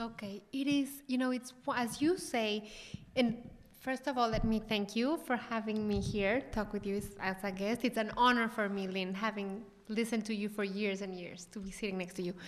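A woman with a Mexican accent and ordinary pitch variation. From Mexico. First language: Spanish. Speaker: chef and cooking show host. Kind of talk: interview conversation. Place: hall. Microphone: handheld.

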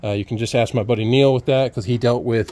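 A man is speaking. The sound is dry, with no echo. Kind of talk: tutorial. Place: open country. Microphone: phone near.

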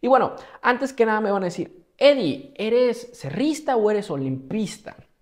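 A man with a Mexican accent speaks at a fairly slow pace against a quiet background. His tone is animated, and his pitch swings very widely. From Mexico, Morelia, Michoacán; Michoacán, Mexico. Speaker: travel vlogger. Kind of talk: casual storytelling monologue. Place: home room.

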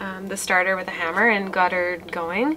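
A woman speaks with a fairly bright tone over faint background noise.

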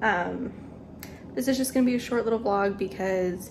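A woman talks with ordinary pitch variation at a moderate pace, noticeable background noise behind her. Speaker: vlogger. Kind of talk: casual vlog chat. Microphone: phone near.

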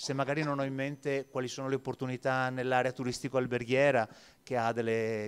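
At a fairly quick pace, a man with a medium pitch speaks in a flat monotone. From Venice. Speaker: labour market expert. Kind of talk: panel discussion. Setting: stage with audience. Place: hall. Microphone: handheld.

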